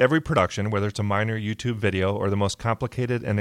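A man talks very fast at a fairly low pitch. The sound is dry and close with no echo, on a very clean recording with a silent background. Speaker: author and podcast network founder. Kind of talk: interview conversation. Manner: halting.

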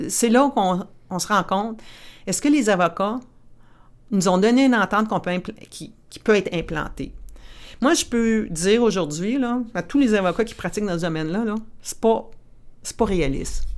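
In a very clean recording with a silent background, a woman of medium pitch speaks at a moderate pace with lively intonation, big swings in loudness, and long, frequent pauses. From northern Ontario, Timmins (Franco-Ontarian). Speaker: lawyer in mining sustainability. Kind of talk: interview, casual professional chat.

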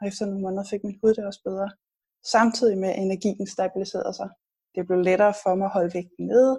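Speaking at a very fast pace, a woman uses a somewhat breathy voice with a dark, mellow tone, medium pitch and monotone, flat intonation. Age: 40s. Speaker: health blogger and author. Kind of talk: interview.

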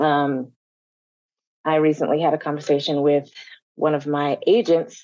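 A woman with a very deep, low pitch and a dark, mellow tone speaks at a moderate pace, leaving long, frequent pauses. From Colorado, US. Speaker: actor. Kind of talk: panel discussion.

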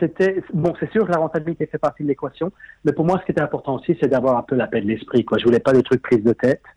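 Fast as can be, a man with a strong southern French accent speaks at a fairly high pitch in a dark, mellow tone with lively intonation, the sound dry and close with no echo. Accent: strong sing-song southern French. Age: 50s. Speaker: property investor. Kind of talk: interview.

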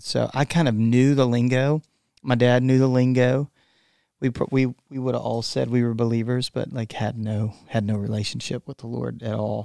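A man with a Texan accent speaks at a moderate pace and medium pitch, his intonation fairly even and his loudness swinging widely. His tone is dark and mellow, the sound dry and close with no echo on a very clean recording with a silent background. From Texas. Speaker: worship musician. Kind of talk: casual interview.

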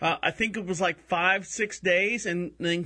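Against a quiet background, a man with a high voice and a bright, sharp tone speaks at a fairly slow pace. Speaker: internet radio host. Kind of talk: casual chat.

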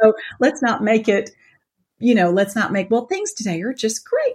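With a Southern US accent, a woman talks in a fairly high, somewhat breathy voice. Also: very clean recording, silent background. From US South, Atlanta. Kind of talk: interview.

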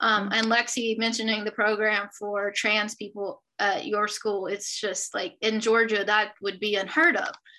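Talking fairly slowly with hardly any pauses, a woman with a Southern US accent uses a fairly high voice and fairly even intonation. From rural South Carolina. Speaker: sociology professor. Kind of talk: panel discussion.

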